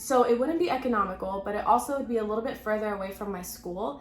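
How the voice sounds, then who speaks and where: A woman's animated tone with an American accent, fairly high pitch and ordinary pitch variation, plus music in the background and audible room echo. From Texas (Houston). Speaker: pharmacy student and vlogger. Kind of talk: casual vlog talk to camera. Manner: chatty, animated.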